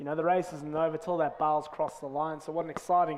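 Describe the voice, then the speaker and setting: Noticeable background noise runs behind a man with a fairly high pitch. He talks very fast in a flat monotone. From South Africa. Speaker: rowing coach and race commentator. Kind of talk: live commentary.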